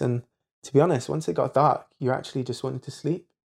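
A man speaks at a very fast pace. His tone is dark and mellow, his intonation fairly even. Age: 20s. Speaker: hypnotherapist. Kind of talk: casual chat. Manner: halting.

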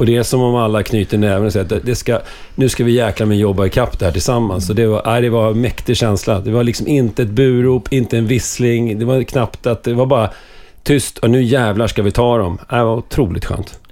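A man's dark, mellow voice at medium pitch, with very even loudness, fairly even intonation and a fairly quick pace. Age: 40s. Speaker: hockey club supporter. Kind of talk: casual chat.

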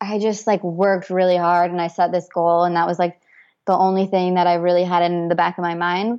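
With an American accent, a plain, everyday voice talks at a fairly quick pace. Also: woman. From US, Idaho (Boise). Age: 20s. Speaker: photographer. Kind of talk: interview. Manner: casual, many fillers and repetitions.

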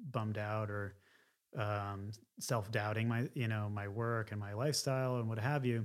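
A man with an American accent speaks in a monotone, flat intonation. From Philadelphia area, US. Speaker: painter. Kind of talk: interview.

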